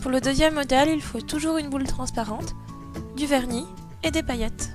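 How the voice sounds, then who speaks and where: Music plays in the background as a woman talks at a fairly quick pace. Her pitch is high and her intonation fairly even. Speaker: craft tutorial youtuber. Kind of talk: casual tutorial voice-over.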